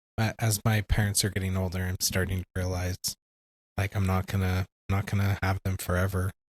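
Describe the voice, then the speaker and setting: A man with a very deep, low voice talks at a fairly quick pace in a monotone, flat delivery, somewhat breathy, with a dry, close sound and no echo on a very clean recording with a silent background. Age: 40s. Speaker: podcast co-host. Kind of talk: podcast interview.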